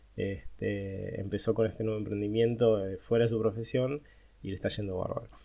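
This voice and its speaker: A dark, mellow tone with fairly even intonation. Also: man. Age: 40s. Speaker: accountant and startup founder. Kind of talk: monologue podcast. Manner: hesitant, many fillers.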